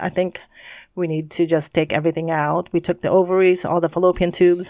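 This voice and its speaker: Fairly low in pitch, a woman with a plain, everyday voice keeps a fairly even intonation in a very clean recording with a silent background. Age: 50s. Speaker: podcast host's mother, guest. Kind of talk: casual chat.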